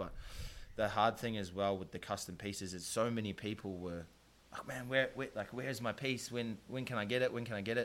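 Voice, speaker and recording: With a New Zealand accent, a man speaks at a fairly quick pace using fairly even intonation. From New Zealand, South Auckland. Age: 20s. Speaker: podcast host and painter. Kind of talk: casual chat. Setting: studio.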